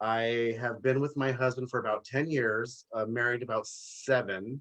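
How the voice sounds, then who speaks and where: Speaking in an American accent, a man with an unremarkable speaking voice keeps a medium pitch, fairly even intonation and a moderate pace. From Los Angeles, US. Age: 40s. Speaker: businessman and author. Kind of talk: live interview.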